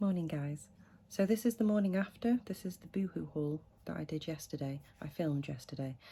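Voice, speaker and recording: On a very clean recording with a silent background, a woman speaks quietly and fairly quickly in a very deep, low pitch, her tone dark, mellow and somewhat breathy, with big swings in loudness. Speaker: fashion haul vlogger. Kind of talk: casual vlog try-on haul.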